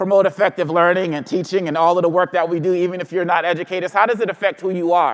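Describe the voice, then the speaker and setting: In an American accent, a man with a high pitch and an animated tone speaks at a very fast pace. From Boston, Massachusetts (Congolese parents). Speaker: diversity and equity trainer. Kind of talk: keynote workshop talk. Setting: stage with audience.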